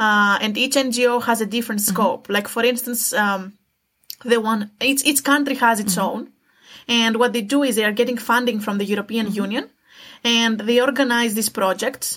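Her intonation fairly even, a woman talks at a moderate pace and a fairly high pitch. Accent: Greek. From Greece. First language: Greek. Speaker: student. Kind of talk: interview.

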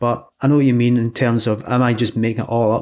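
In a Scottish accent, a man speaks at medium pitch with monotone, flat intonation. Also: very clean recording, silent background. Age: 40s. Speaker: hypnotherapist. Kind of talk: interview.

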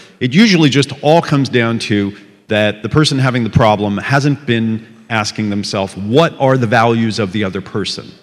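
A man with an unremarkable speaking voice talks at a moderate pace and medium pitch with ordinary pitch variation. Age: 50s. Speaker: entrepreneur and investor. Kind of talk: conference keynote talk. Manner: conversational, uses rhetorical questions.

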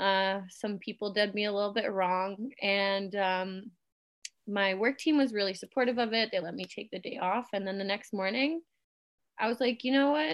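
A woman with a Canadian accent speaks in a normal speaking voice at a moderate pace. Her pitch is medium, with ordinary variation. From Germany, moved to Canada at eight. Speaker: photographer. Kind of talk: casual chat.

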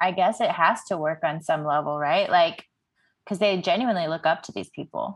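An ordinary speaking voice, with an American accent, moves at a fairly quick pace. Pitch varies in an ordinary way over a quiet background. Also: woman, fairly low pitch for a woman. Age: 30s. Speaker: podcast host. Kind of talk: casual chat.

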